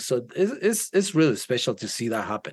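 Against a quiet background, a man with a Guatemalan accent talks at a fairly high pitch that swings very widely. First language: Spanish. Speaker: worship leader. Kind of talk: casual chat. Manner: halting, hesitant.

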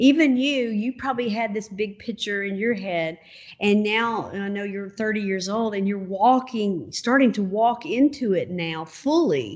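With a plain, everyday voice, a woman talks fairly slowly at a fairly high pitch, using ordinary pitch variation. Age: 50s. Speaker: podcast host and minister. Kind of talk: casual interview.

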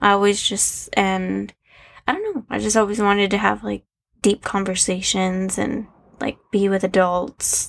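Quietly, a woman speaks with an American accent. Her pace is fairly slow. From Arizona. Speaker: host's wife. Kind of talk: casual chat.

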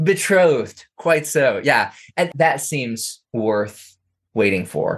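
Against a quiet background, a man with a fairly high pitch and vocal fry speaks very slowly, his pitch swinging very widely. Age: 30s. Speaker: author and scholar. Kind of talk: interview.

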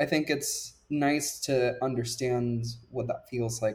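Somewhat breathy speech with fairly even intonation, on a very clean recording with a silent background. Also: man. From Puerto Rico. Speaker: STEM tutor. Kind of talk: interview.

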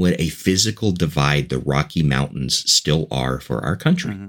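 A man with vocal fry speaks at a moderate pace in an enthusiastic tone with lively intonation, on a very clean recording with a silent background. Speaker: podcaster and evangelist. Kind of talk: casual interview chat.

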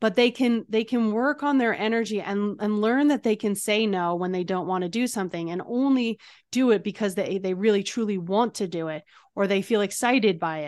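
A woman with a plain, everyday voice speaks at a fairly quick pace, her medium pitch varying in an ordinary way over a quiet background. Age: 40s. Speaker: EFT practitioner and transformation coach. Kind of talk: interview; guided exercise.

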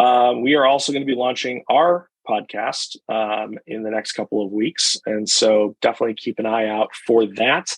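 A man speaks with a plain, everyday voice at a moderate pace, with hardly any pauses. His pitch is medium, with ordinary pitch variation. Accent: American. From US Midwest, Chicago. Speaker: restaurant association executive. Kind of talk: casual interview.

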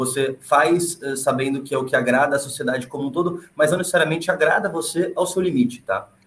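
A man talks at a fairly quick pace with hardly any pauses, using a plain, everyday voice. His pitch is fairly high, with ordinary variation. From Brazil. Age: 20s. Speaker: former engineer and world traveler. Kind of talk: podcast conversation.

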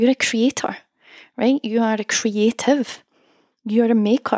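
With a Scottish accent, a woman speaks at a moderate pace in a fairly high voice with ordinary pitch variation. The recording is very clean with a silent background, dry and close with no echo. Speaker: songwriting coach and podcast host. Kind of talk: solo podcast monologue, motivational talk.

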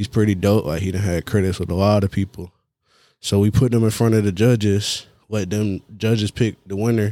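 In an Atlanta accent, a man speaks fairly quickly with a fairly low pitch, a dark, mellow tone and monotone, flat intonation. The sound is dry and close with no echo, a very clean recording over a silent background. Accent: Southern US, Atlanta. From Georgia and South Carolina, US South. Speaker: music producer. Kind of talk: casual interview.

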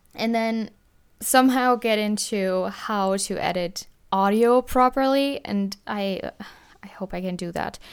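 A woman with a German accent speaks at a fairly slow pace in a fairly high pitch with ordinary pitch variation, on a very clean recording with a silent background. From Germany. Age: 20s. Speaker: podcast host, college student. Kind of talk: casual monologue. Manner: casual, often says 'like'.

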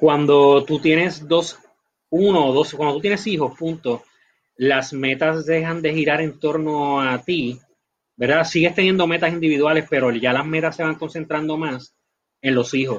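Against a quiet background, a man with a plain, everyday voice speaks at a fairly slow pace, his fairly high pitch held in fairly even intonation. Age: 40s. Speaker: company executive. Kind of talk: interview.

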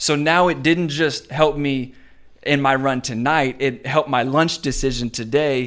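A man with an American accent talks in an ordinary speaking voice, fairly high-pitched and fairly slow, with fairly even intonation on a very clean recording over a silent background. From Richmond, Virginia. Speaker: pastor. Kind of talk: casual interview chat.

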